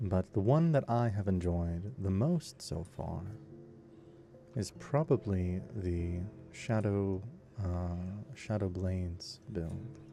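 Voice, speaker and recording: Music plays in the background as the voice moves at a very slow pace. The tone is calm and gentle, with lively intonation. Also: man, very deep, low pitch for a man. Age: 20s. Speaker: voice actor and gaming sleep-video creator. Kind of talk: calm gameplay narration for sleep. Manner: calm, gentle.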